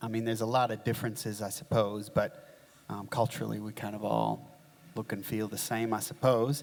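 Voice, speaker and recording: With an American accent, a man speaks at a fairly quick clip, his pitch medium and his intonation fairly even. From upstate New York, US. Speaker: community leader in flood recovery. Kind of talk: panel discussion. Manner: hesitant, many fillers.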